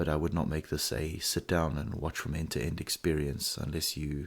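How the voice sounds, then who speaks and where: A man's very deep, low voice with vocal fry at a fairly quick pace, on a very clean recording with a silent background. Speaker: miniature painting youtuber. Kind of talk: casual rambling vlog. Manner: hesitant, filler-heavy.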